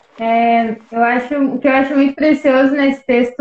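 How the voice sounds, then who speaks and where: A woman speaks at a fairly slow pace in a high voice. Her intonation is monotone and flat. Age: 20s. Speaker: churchgoer and musician. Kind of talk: casual religious discussion. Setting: online video live stream.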